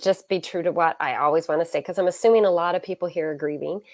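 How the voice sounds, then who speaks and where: A woman with a slight Canadian accent and fairly low pitch, talking at a very fast pace, in a very clean recording with a silent background. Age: 40s. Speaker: author and minister. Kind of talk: interview.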